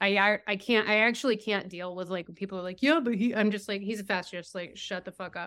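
A woman with an American accent speaks at medium pitch in a bright, sharp tone with ordinary pitch variation, recorded very cleanly against a silent background. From Massachusetts. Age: 50s. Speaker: writer. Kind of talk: casual chat.

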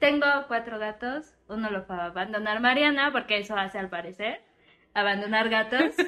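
Her pitch fairly high and its variation ordinary, a woman speaks at a moderate pace in a bright, sharp tone. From Oaxaca, Mexico. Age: 20s. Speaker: podcast co-host. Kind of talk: casual chat.

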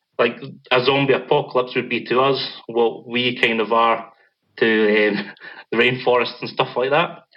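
Speaking in a Scottish accent, a man uses a monotone, flat intonation at a medium pitch and a moderate pace. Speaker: band vocalist, podcast guest.

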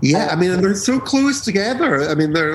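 Noticeable background noise is present throughout. Over it, a man talks with lively intonation. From Edinburgh, Scotland. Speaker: DJ and label owner. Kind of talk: casual interview chat.

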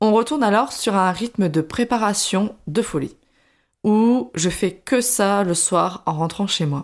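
A woman's medium-pitched voice with lively intonation, a very slow pace and very even loudness. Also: very clean recording, silent background. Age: 20s. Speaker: podcaster, former primary school teacher. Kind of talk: personal testimony monologue. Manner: casual, chatty.

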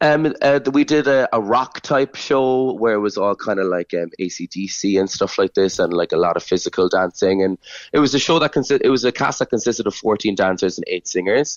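Speaking with a Cork accent, a man keeps a medium pitch and lively intonation. He talks at a fairly quick pace with hardly any pauses. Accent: Cork Irish. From Ireland, Cork. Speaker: dancer and choreographer. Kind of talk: radio interview.

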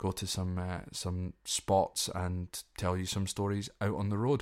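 With a Scottish accent, a man speaks fairly slowly in a very deep, low voice and a monotone, flat intonation. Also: very clean recording, silent background. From Scotland. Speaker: podcast host. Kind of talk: solo podcast monologue, informal educational talk. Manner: informal, hesitant with many fillers.

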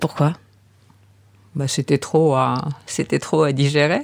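The woman's pitch is very deep and low. She talks very slowly. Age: 70s. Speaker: heir to an art collection. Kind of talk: interview testimony.

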